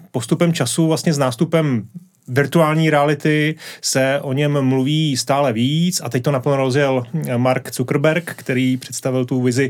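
With an unremarkable speaking voice, a man talks at medium pitch and a moderate pace, his intonation fairly even. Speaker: podcast host. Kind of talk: casual interview chat. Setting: studio.

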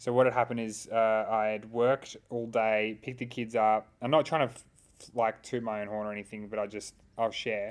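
Talking at a fairly quick pace with an Australian accent, a man keeps a monotone, flat intonation while his loudness swings widely. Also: medium pitch for a man. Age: 30s. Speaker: youth and social work podcast co-host. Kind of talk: casual chat.

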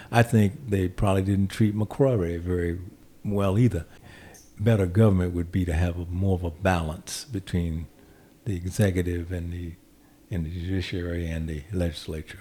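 Man's very deep, low voice, dark and mellow, somewhat breathy, with fairly even intonation at a moderate pace. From US South, Raleigh, North Carolina. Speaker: state legislator and former judge. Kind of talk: interview.

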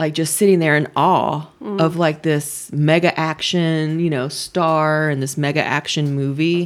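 Over a silent background in a very clean recording, a woman with an American accent speaks at a very deep, low pitch in a monotone, flat intonation. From Georgia, US South. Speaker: entertainment website owner. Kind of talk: casual chat.

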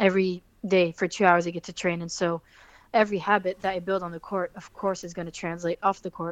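A woman with a French accent talks at a very fast pace in monotone, flat intonation, with big swings in loudness, in a dry, close sound with no echo and a quiet background. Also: medium pitch for a woman. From France, Fontainebleau. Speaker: professional basketball player. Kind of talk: interview.

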